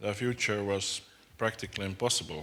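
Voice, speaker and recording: With a fairly low pitch and fairly even intonation, a man speaks at a fairly slow pace. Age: middle-aged. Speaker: designer. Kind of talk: conference talk. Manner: halting.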